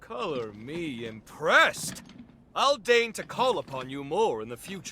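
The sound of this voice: A man puts on a character voice, fairly high for a man, with a slightly husky edge and a bright, sharp tone. His pitch swings widely at a fairly slow pace.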